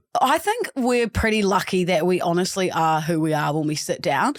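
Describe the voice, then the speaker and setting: Noticeable background noise sits behind a woman's medium-pitched voice. Her loudness stays very even. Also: lively intonation, moderate pace. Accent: New Zealand. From New Zealand. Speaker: podcast host. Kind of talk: casual, conversational.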